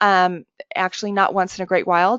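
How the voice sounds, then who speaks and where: Fairly quick in pace, a woman speaks at a medium pitch in an ordinary speaking voice. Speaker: webinar presenter, software trainer. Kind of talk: tutorial. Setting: webinar.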